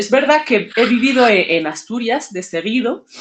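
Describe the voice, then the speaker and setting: This woman's intonation is lively. She keeps to a fairly slow pace. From Sahrawi refugee camps, Algeria. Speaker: author. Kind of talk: interview. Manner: halting.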